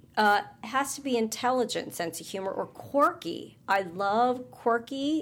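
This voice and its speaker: With a plain, everyday voice, a woman speaks fairly slowly at a fairly high pitch, her intonation lively and her speech running on with hardly any pauses. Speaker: podcast co-host. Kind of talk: casual chat.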